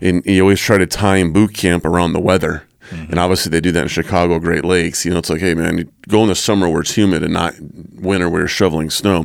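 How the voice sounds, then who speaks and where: A man with an American accent talks at a very fast pace in a very deep, low pitch, his intonation monotone and flat, with hardly any pauses, on a very clean recording with a silent background. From US Southwest, New Mexico. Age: 40s. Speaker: Navy veteran. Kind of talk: interview. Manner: halting, many fillers.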